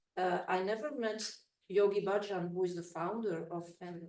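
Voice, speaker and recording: There is audible room echo as a woman speaks with a Belgian accent. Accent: Belgian, non-native English. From Belgium. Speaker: researcher and former cult member. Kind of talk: conference presentation. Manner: halting.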